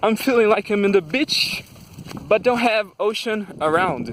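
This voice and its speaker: With a Brazilian Portuguese accent, a man speaks at a high pitch and a fairly slow pace. Noticeable background noise can be heard. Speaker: vlogger. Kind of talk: casual monologue vlog. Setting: outdoors. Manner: halting.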